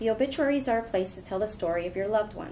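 Over light background noise, a woman talks fairly quickly with ordinary pitch variation. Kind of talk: prepared statement at press conference. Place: meeting room.

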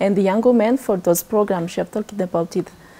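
This woman's voice has a dark, mellow tone, a fairly high pitch and ordinary pitch variation. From Madagascar. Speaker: youth exchange participant; guest, girl guide. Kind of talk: TV talk show interview. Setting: studio. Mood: friendly, smiling. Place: studio. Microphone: lapel.

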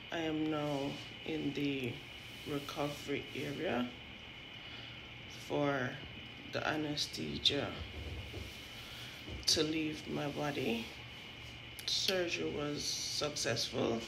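Amid noticeable background noise, a woman with a very deep, low voice and fairly even intonation speaks with long, frequent pauses. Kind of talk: casual vlog chat. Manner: slow, drowsy post-anesthesia speech. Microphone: phone near.

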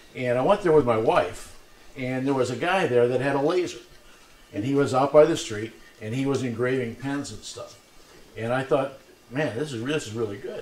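The speech moves at a moderate pace with ordinary pitch variation. Audible room echo colors the sound. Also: man. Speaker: presenter. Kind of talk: talk to a live audience. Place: classroom.

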